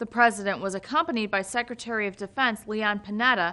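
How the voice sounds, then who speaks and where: The speaker is a woman with a plain, everyday voice. She talks at a fairly quick pace, fairly high in pitch. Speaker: TV news reporter and anchor. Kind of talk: TV news montage of standups and anchoring.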